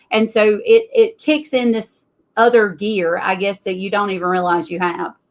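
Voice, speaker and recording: A woman with a Southern US accent talks at a moderate pace, her medium-pitched voice rising and falling in an ordinary way. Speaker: tax business owner and author. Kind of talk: interview.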